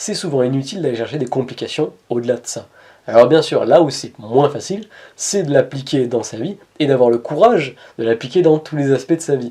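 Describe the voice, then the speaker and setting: Speaking with a slight Montpellier accent, a man uses a fairly high, dark and mellow voice at a fairly quick pace. His intonation is lively, and his loudness swings widely. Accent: Montpellier accent, slight, kept in check. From southern France, Montpellier. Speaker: spiritual coach / personal development youtuber. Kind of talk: inspirational talk to camera.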